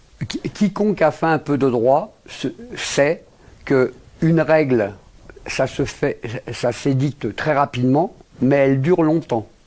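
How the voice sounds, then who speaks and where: Fairly high-pitched male voice at a very slow pace, with ordinary pitch variation and long, frequent pauses. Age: 60s. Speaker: lawyer, international law specialist. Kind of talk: interview. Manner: halting, many repetitions and fillers.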